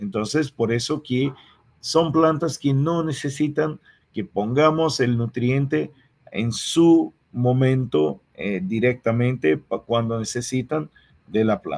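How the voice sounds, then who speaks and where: A man with a Portuguese accent speaks at a very slow pace in a medium pitch. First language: Portuguese (speaking Spanish). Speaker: agronomy researcher and lecturer. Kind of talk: lecture. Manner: halting, with frequent repetitions.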